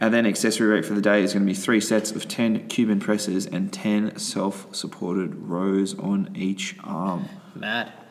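A man with a fairly low pitch uses a normal speaking voice at a moderate pace with hardly any pauses. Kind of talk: fitness class instruction. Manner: brisk, rhythmic, upbeat coach-style delivery, rattling off rep counts; casual, profane, bantering.

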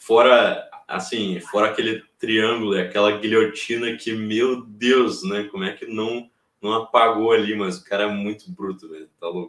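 A plain, everyday voice moves at a fairly slow pace with fairly even intonation and hardly any pauses. Its loudness swings in big ways. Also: man, fairly low pitch for a man. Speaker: MMA youtuber and commentator. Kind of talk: casual chat. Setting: live stream.

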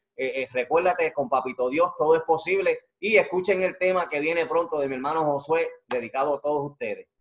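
A man with a plain, everyday voice, fairly high in pitch, with ordinary pitch variation and a fairly quick pace. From Puerto Rico. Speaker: YouTube interview show host. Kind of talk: casual interview.

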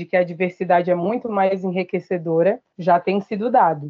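Spoken at a moderate pace with ordinary pitch variation, this is a plain, everyday voice. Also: woman. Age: 30s. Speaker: human resources analyst and activist. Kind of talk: podcast interview.

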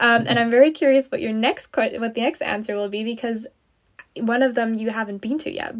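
Fairly high in pitch and quick in pace, a woman speaks in a plain, everyday voice with ordinary pitch variation. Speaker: podcast host. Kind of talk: interview chat.

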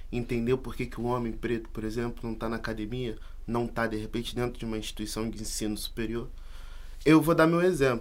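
A man talks fairly quickly, and room echo is audible. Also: medium pitch for a man, ordinary pitch variation. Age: 20s. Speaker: university student and activist. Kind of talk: casual chat.

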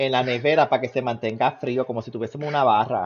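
A man uses an ordinary speaking voice at medium pitch with ordinary pitch variation. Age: 30s. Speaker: podcast co-host. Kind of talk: casual chat.

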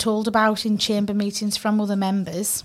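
Speaking at a fairly high pitch, a woman with a Cumbrian accent sounds somewhat breathy. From northern England. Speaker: community radio co-host, property professional. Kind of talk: casual chat. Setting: studio.

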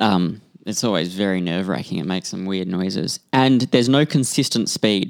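In an Australian accent, a man speaks at a moderate pace with a fairly low pitch and ordinary pitch variation, in a very clean recording with a silent background. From Western Australia. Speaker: podcast co-host. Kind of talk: casual chat.

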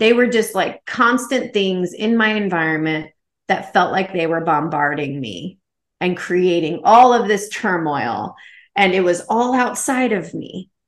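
Against a quiet background, a woman with a plain, everyday voice at medium pitch uses lively intonation and a fairly slow pace. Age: 40s. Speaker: massage therapist and spiritual coach. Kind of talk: interview.

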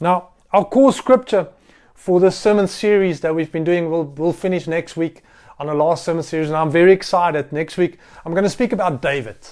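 Speaking with an Afrikaans South African accent, a man talks at a fairly quick pace in a high pitch with ordinary pitch variation. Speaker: pastor. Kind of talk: sermon. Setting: recorded livestream sermon during lockdown. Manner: halting.

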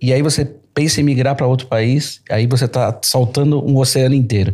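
At a moderate pace, a man speaks in a medium pitch with a somewhat breathy voice. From Brazil, São Paulo. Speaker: entrepreneur. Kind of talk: podcast conversation.

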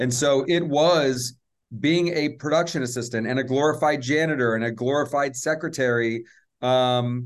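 A man with an American accent talks at a moderate pace, his pitch varying in an ordinary way. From US South, Atlanta. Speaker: film producer and social justice advocate. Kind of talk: interview.

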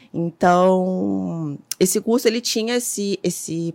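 A woman speaks with a fairly low pitch in an ordinary speaking voice. The sound is dry and close with no echo. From Rio de Janeiro, Complexo do Alemão favela. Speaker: photographer and image archivist. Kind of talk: casual interview.

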